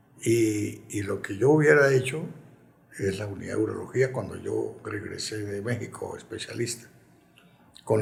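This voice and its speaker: A man talks at a moderate pace. Audible echo comes from the room. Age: 80s+. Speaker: retired football club president and urologist. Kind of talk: interview. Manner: reflective.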